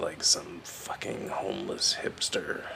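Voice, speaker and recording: A raspy put-on character voice moves at a fairly slow pace over clear background noise. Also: man. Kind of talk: spoken-word storytelling. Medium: solo performance. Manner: wry, profane, reflective.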